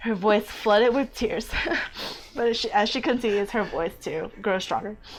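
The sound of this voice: The clip holds an unforced reading voice.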